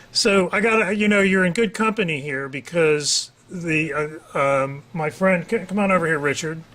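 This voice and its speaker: A man talks at a high pitch and a moderate pace, with ordinary pitch variation and hardly any pauses. Noticeable background noise is present. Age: 60s. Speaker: talk show host. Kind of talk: casual interview.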